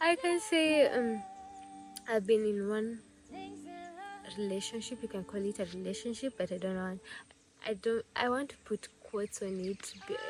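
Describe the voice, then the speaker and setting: A woman with a Kenyan accent speaks at a moderate pace in a fairly high pitch, with lively intonation. She leaves long, frequent pauses while music plays in the background. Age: 20s. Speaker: vlogger. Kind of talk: casual vlog talk. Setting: at home.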